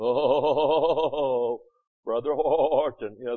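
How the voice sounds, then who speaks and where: A man at medium pitch performs a put-on character voice. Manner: bleating, sanctimonious.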